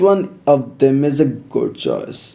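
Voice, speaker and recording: A man with an Indian accent, fairly high pitch, and a dark, mellow tone. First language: Hindi. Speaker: tech reviewer. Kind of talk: product review.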